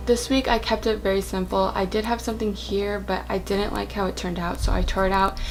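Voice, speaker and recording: A soft-spoken woman talks at a fairly quick pace. Noticeable background noise runs behind her. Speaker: bullet journal YouTuber. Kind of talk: casual talk to camera, journal flip-through. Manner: quiet, soft-spoken.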